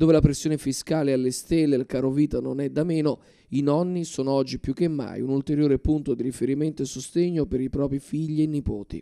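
The speaker talks at a very fast pace in a dark, mellow tone with fairly even intonation, the sound dry and close with no echo. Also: man. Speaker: news reporter. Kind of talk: TV news report narration. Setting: TV news segment.

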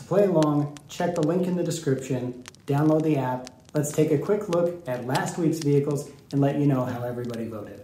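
A man speaks at a fairly quick pace with ordinary pitch variation. There is light background noise and audible room echo. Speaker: show host. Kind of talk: show host intro. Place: studio.

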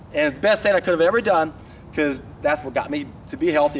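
A man uses lively intonation, with light background noise behind him. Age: 60s. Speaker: raw vegan health vlogger. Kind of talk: monologue to camera. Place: open country.

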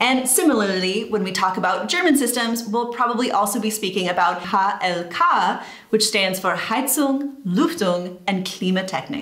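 A woman with an American accent and lively intonation, at a moderate pace with hardly any pauses, in a room with audible echo. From United States. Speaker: YouTuber. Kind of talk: scripted narration. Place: home room.

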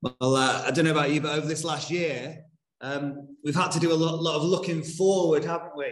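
Fairly even male intonation, with room echo audible throughout. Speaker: minister. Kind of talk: sermon. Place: church.

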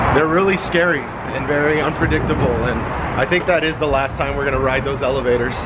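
A man speaks with ordinary pitch variation. Loud background noise runs underneath. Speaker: vlogger. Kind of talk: casual vlog chat. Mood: amused, chatty. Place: garage. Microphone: phone near.

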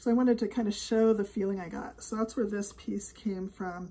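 A woman's somewhat breathy voice, dark and mellow in tone, with fairly even intonation. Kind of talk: casual vlog chat. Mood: warm, reflective. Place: home room. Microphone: phone near.

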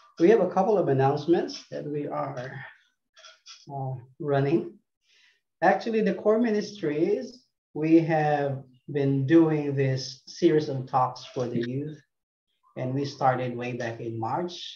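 A man with a fairly high pitch, a dark, mellow tone and a somewhat breathy voice talks at a fairly slow pace, with long, frequent pauses and big swings in loudness. Room echo is audible, and there is light background noise. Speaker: ministry announcer. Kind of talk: announcements. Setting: video call. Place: home room. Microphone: video call.

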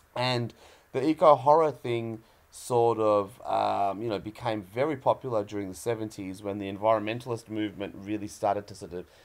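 A man with a plain, everyday voice speaks at a moderate pace, fairly low in pitch with ordinary pitch variation and big swings in loudness. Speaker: guest. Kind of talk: interview answer.

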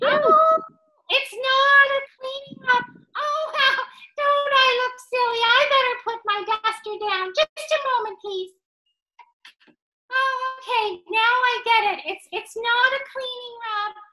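In a cartoonish character voice, a female-sounding voice goes extremely high in pitch at a fairly slow pace with long, frequent pauses. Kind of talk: children's puppet show. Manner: upbeat, excitable.

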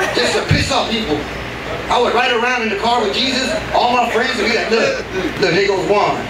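A man with an American accent talks at a fairly quick pace, with audible room echo and noticeable background noise. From Texas, Houston. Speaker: stand-up comedian. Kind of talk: stand-up. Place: stage.

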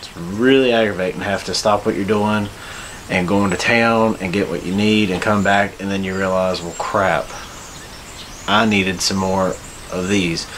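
Over light background noise, a man with a fairly low pitch speaks at a moderate pace, with fairly even intonation and long, frequent pauses. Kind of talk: casual vlog chat. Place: garage. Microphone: phone near.

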